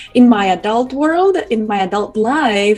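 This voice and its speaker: A woman at a fairly high pitch speaks at a moderate pace over noticeable background noise. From Ukraine. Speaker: communication coach. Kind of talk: interview.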